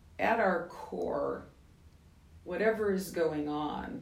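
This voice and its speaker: A woman talks at a very slow pace. Audible room echo and noticeable background noise surround her voice. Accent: American. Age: 70s. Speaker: skincare company founder. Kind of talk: interview.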